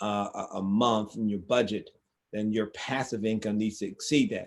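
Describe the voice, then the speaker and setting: Medium-pitched male voice with fairly even intonation. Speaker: financial education live streamer. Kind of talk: casual live talk. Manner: fast; repetitive, with frequent restarts.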